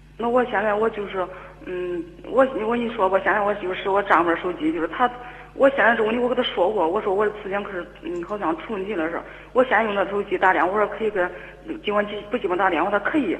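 A woman at medium pitch with ordinary pitch variation, talking at a very fast pace over noticeable background noise. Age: 30s. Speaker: caller seeking relationship advice. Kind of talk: phone-in advice call. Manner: halting, repeating words.

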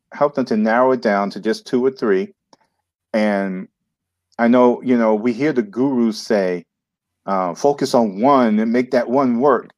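A man speaks at a fairly slow pace with an American accent, leaving long, frequent pauses. His pitch is medium and it varies in an ordinary way. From New York City. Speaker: entrepreneur and marketing coach. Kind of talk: interview.

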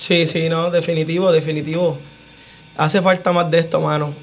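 A high-pitched male voice, fairly quick and monotone with flat intonation. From Puerto Rico, Utuado. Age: 30s. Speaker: muralist and tattoo artist. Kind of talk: radio interview. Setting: radio studio.

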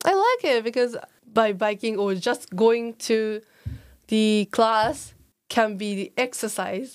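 A woman with a Japanese accent speaks at a very slow pace, with long, frequent pauses. Her pitch is fairly high, with ordinary variation. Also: very clean recording, silent background. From Japan, Tokyo. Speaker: exchange student. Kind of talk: casual interview.

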